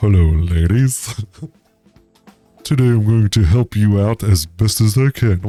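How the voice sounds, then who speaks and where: Faint music plays behind a man using a put-on character voice at a fairly low pitch. He goes at a fairly slow pace with long, frequent pauses. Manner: goofy, dim-witted.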